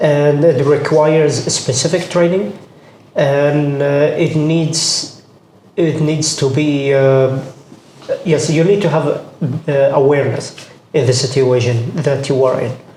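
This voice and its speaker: Speech comes at a very slow pace with fairly even intonation and very even loudness, over noticeable background noise and audible room echo. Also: man, fairly high pitch for a man. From Jordan, Palestinian family. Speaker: combat medic. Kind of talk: interview. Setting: audio-only recording.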